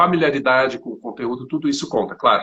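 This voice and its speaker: Bright, sharp tone from a man with a fairly high pitch. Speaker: geography teacher. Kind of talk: live interview. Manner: fast.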